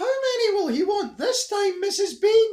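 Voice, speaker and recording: Shouting loudly in a squeaky put-on character voice, a man hits an extremely high pitch at a moderate pace. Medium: read story. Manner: loud, shouting.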